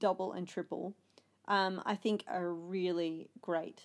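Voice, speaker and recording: A woman speaks in an ordinary speaking voice at a fairly slow pace with fairly even intonation. The recording is very clean, with a silent background. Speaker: podcast host. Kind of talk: casual chat.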